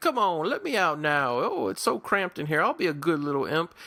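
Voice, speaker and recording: At a fairly quick pace, a man uses a put-on character voice pitched high. The recording is very clean, with a silent background. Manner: silly, pleading, cutesy.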